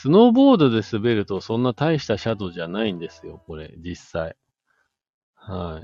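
With an unremarkable speaking voice, a man talks at a moderate pace in a fairly low pitch, his intonation lively and his loudness swinging widely. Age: 40s. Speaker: podcast host. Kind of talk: casual chat. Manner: casual, filler-heavy.

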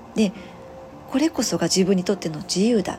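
Over noticeable background noise, a woman speaks with ordinary pitch variation. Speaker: spiritual healer and nurse. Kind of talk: solo podcast monologue. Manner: soft-spoken; rambling with many fillers.

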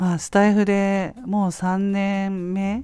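The woman's tone is relaxed, dark and mellow. The recording is very clean, with a silent background. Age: 50s. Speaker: podcaster and freelance homemaker. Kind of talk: casual monologue. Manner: relaxed, filler-heavy.

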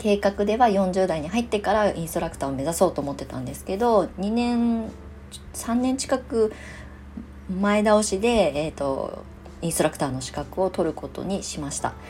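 Somewhat breathy and at a medium pitch, a woman speaks at a moderate pace with big swings in loudness. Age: 40s. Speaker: clay therapist and podcast host. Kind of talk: solo podcast monologue.

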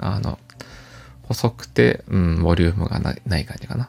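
Calm in tone, the voice moves at a moderate pace with very wide pitch swings. Vocal fry runs through it. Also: man. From Japan, Aichi (Toyota). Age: 40s. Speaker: podcaster. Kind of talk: casual monologue. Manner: calm, soft-spoken; hesitant, filler-heavy.

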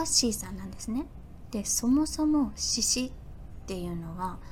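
A woman's relaxed, gentle tone with audible room echo. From Fukuoka, Japan. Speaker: podcaster. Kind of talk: casual solo talk.

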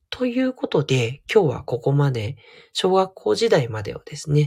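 Soft-spoken and relaxed in tone, a man is heard in a dry, close sound with no echo. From Tokyo, Japan. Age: 40s. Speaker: counselor and podcaster. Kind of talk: solo audio diary monologue. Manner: soft, androgynous delivery; relaxed, many fillers.

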